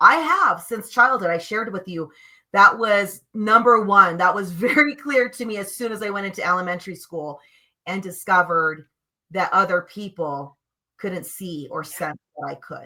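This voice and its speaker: A woman's bright, sharp, animated tone with lively intonation. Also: medium pitch for a woman, moderate pace, big swings in loudness. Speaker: energy healer, co-host of spiritual stream show. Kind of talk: casual chat on live stream. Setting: live stream video show. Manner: loud.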